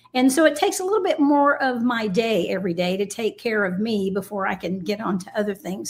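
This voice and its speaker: A fairly high, somewhat breathy woman's voice moves at a fairly quick pace. The recording is very clean, with a silent background. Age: 60s. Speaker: shooting sports team lead. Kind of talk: casual interview.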